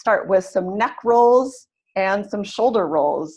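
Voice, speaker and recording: A woman's unremarkable speaking voice with a General American accent, at a medium pitch with ordinary pitch variation. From California, US. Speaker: English teacher. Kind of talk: lecture. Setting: video call.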